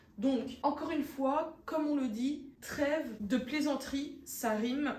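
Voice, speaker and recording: A woman speaks very slowly in a high voice with fairly even intonation over noticeable background noise. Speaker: vlogger. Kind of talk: casual vlog talk to camera.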